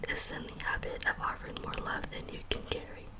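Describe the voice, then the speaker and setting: Calm whispering at a fairly slow pace, with noticeable background noise. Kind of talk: ASMR poetry reading. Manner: soft-spoken, calm.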